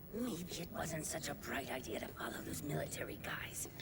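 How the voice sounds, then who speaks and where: A man whispering in a cartoonish character voice at a moderate pace over loud background noise. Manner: nervous, talking to himself.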